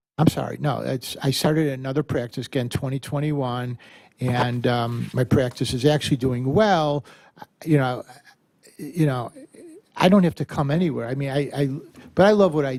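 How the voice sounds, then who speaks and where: Man speaking at a moderate pace and medium pitch, ordinary pitch variation, with long, frequent pauses. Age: 60s. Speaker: dentist applying for a license. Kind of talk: testimony at board hearing. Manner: halting.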